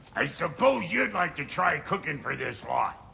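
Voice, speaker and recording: A raspy, put-on character voice from a man at a moderate pace, with clear background noise. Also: fairly high pitch for a man. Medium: video game. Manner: gruff, sarcastic.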